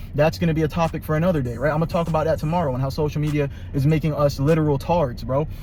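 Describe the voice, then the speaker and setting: A man with a fairly high pitch talks at a very fast pace amid noticeable background noise. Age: 20s. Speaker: youtuber giving life advice. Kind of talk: casual monologue. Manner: animated.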